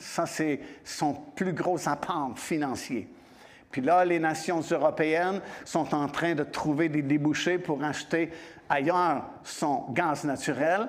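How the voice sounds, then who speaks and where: A man's fairly high voice at a very slow pace, with fairly even intonation, very even loudness and audible room echo. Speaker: visiting preacher. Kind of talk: sermon. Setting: church.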